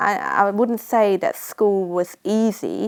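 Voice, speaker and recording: A woman's medium-pitched voice with a Cambodian accent. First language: Khmer. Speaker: nurse. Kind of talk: interview testimony.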